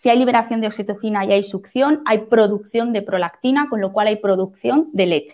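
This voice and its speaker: A woman speaks at a moderate pace in a normal speaking voice. Her pitch is fairly high, and the background is quiet. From Spain, Madrid. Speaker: midwife. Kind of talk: lecture. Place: home room. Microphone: webcam.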